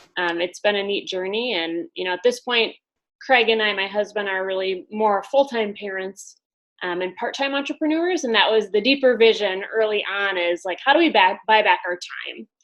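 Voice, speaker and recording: This woman has a medium pitch and speaks with a Wisconsin accent. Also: lively intonation, moderate pace. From US Midwest, Wisconsin. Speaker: business coach. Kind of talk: interview.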